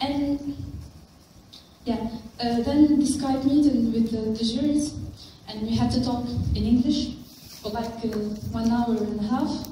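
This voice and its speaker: A woman's high voice at a fairly slow pace with fairly even intonation, amid strong room echo and light background noise. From Tunisia. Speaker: engineering student and wiki volunteer; conference presenter. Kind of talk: conference talk. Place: meeting room. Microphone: camera far.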